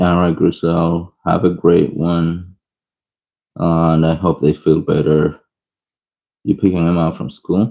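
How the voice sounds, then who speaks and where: A man's very deep, low voice, dark and mellow, monotone and flat, at a fairly slow pace with long, frequent pauses. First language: not English. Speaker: art streamer. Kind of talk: live-stream coloring tutorial with chat. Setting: live stream. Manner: casual, chatty.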